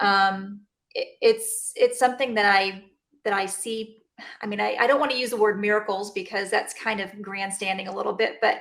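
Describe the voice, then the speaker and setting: In a Texan accent, a woman speaks at medium pitch with fairly even intonation. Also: moderate pace. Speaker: chiropractor. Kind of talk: interview. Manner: halting, many fillers.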